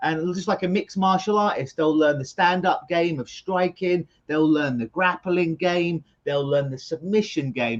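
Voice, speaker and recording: A man with a London accent talks at a high pitch and a moderate pace. He hardly pauses, and the sound is dry and close with no echo. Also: ordinary pitch variation. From London, England. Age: 40s. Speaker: clinical hypnotist. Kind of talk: interview conversation.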